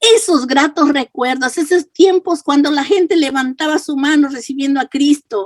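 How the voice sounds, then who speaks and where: A woman's high-pitched voice with lively intonation at a fairly slow pace, dry and close with no echo. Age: 70s. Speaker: pastor. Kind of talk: sermon.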